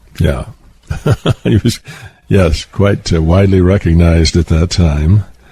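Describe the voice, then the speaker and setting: With an American accent, a man speaks very deep and low at a fairly slow pace, with ordinary pitch variation, very even loudness and long, frequent pauses over noticeable background noise. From Southwestern United States. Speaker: author and poet. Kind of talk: interview answer.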